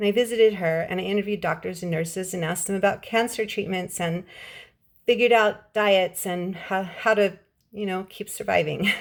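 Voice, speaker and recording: In an American accent, a woman talks at a fairly quick pace with fairly even intonation. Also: medium pitch for a woman. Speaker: writer and English teacher. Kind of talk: casual vlog showing her books.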